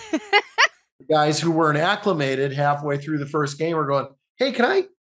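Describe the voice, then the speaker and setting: A man with a plain, everyday voice, fairly high-pitched, with ordinary pitch variation and a moderate pace. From Canada. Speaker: actor and comedian. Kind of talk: podcast interview, casual conversation.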